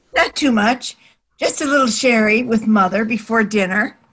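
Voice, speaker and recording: A woman does a put-on character voice at a fairly high pitch and a moderate pace. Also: ordinary pitch variation, very even loudness. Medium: short film. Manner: prim, sweet.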